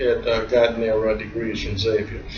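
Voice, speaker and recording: A man with an American accent, audible room echo and noticeable background noise. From US South, New Orleans. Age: 60s. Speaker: accountant. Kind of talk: interview. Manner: halting, many fillers.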